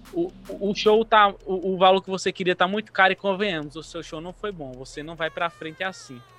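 Over noticeable background noise, a man talks at a high pitch and fairly quick pace with hardly any pauses, ordinary pitch variation and big swings in loudness. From Brazil, Bahia (Paulo Afonso). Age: 20s. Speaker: DJ and music producer. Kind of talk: interview.

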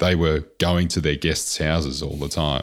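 Monotone, flat intonation with vocal fry. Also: man. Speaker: podcast host.

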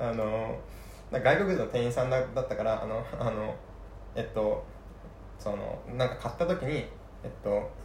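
With audible room echo around him, a man speaks with long, frequent pauses. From Saga, Kyushu. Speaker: podcast co-host, tech worker. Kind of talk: casual chat. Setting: drinking chat. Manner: fast.

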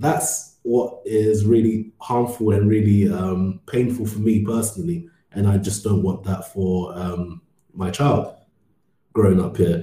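With a London accent, this man talks at a fairly slow pace in a fairly low, somewhat breathy voice with a dark, mellow tone and ordinary pitch variation. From London, England. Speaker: ad tech worker, podcast co-host. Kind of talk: casual discussion.

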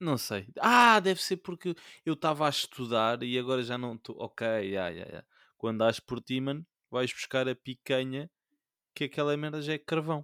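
On a very clean recording with a silent background, a man speaks at a moderate pace with lively intonation and a bright, sharp tone, the sound dry and close with no echo. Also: medium pitch for a man. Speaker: podcast co-host. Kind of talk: casual chat. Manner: animated.

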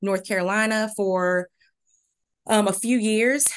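A woman with a normal speaking voice, at a moderate pace with fairly even intonation, over a quiet background. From Maryland. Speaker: college gymnastics head coach. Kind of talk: interview.

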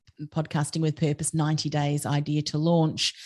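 Her pitch sits very deep and low as this woman talks at a moderate speed. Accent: Australian. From Australia. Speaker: podcast strategist and business coach. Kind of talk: interview conversation.

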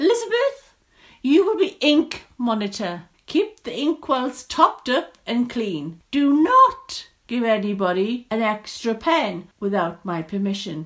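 A woman's put-on character voice, fairly high and fairly bright, with big pitch swings at a fairly slow pace

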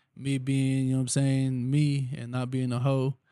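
A man speaks at a medium pitch in a dark, mellow tone. His intonation is monotone and flat, on a very clean recording with a silent background. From Texas Gulf Coast. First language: Spanish. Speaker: rapper. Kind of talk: casual interview. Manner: laid-back, slangy.

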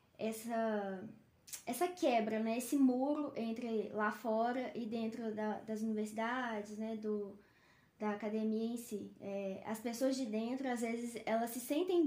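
A woman's fairly high voice, dark and mellow in tone, at a fairly slow pace, with audible room echo. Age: 20s. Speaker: veterinarian. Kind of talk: casual chat. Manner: halting, many fillers.

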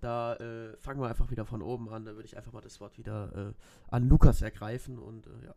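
Speaking at a fairly quick pace, a man with a medium pitch and a dark, mellow tone keeps his intonation fairly even while his loudness swings widely. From Bavaria, Germany. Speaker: podcast host. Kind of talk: casual chat.

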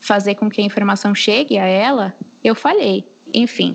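Over noticeable background noise, a woman with a fairly high voice talks at a moderate pace. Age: 20s. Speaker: history teacher. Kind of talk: casual chat.

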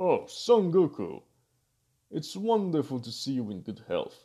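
Put-on character voice from a man, fairly high in pitch and fairly slow, against a quiet background. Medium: read story. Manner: dignified, measured.

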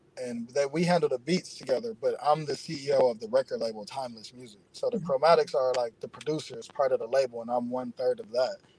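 This is a man with a normal speaking voice, fairly high in pitch and fairly quick in pace. His pitch varies in an ordinary way, and the sound is dry and close with no echo. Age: 30s. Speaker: entrepreneur and record label owner. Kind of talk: interview.

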